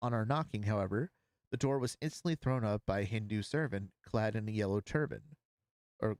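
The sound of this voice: Against a quiet background, the text is read in an unforced reading voice.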